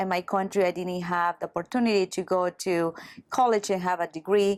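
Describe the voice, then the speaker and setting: A woman's flat, monotone delivery in a Salvadoran accent, medium in pitch and fairly quick, with a dry, close sound and no echo. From El Salvador. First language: Spanish. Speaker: massage therapist and spa owner. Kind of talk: interview testimony. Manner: halting.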